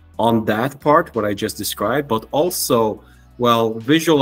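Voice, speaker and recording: Behind the man's voice, faint music can be heard in the background. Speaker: guest. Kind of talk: interview answer. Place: home room.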